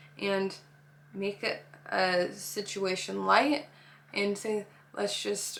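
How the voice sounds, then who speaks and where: A woman talking at a medium pitch is heard with noticeable background noise. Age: 20s. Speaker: nanny and preschool teacher. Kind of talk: casual advice talk. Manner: casual, filler-heavy.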